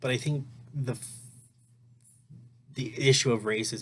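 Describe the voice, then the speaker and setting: Intonation stays fairly even as a man talks in a somewhat breathy voice. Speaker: student. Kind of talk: recorded class reading reaction. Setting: at home. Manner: halting, many fillers.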